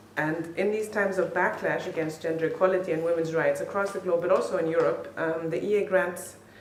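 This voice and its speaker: Speaking at a fairly quick pace, a woman with a fairly low pitch keeps a fairly even intonation, with audible room echo and noticeable background noise around her. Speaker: funding program representative. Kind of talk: conference speech. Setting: conference hall with audience and interpreter. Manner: fast.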